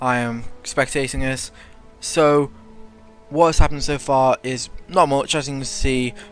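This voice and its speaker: With music in the background, the speaker moves at a fairly slow pace, leaving long, frequent pauses, with fairly even intonation. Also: man, fairly high pitch for a man. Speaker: game shoutcaster / commentator. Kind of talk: esports-style shoutcast commentary.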